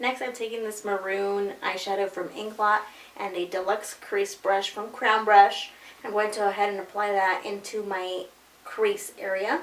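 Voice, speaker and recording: In a monotone, flat intonation, a woman speaks at a medium pitch. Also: moderate pace. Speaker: beauty vlogger. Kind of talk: makeup tutorial. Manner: soft-spoken.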